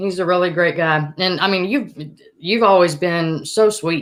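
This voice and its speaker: In an Alabama accent, a woman speaks at a moderate pace with fairly even intonation. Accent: Southern US (Alabama). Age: 40s. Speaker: podcast host. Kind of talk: casual chat.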